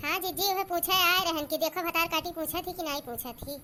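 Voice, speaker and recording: A woman puts on a squeaky, cartoonish character voice at an extremely high pitch. She goes at a fairly quick pace over clear background noise. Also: fairly even intonation. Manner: crude, combative.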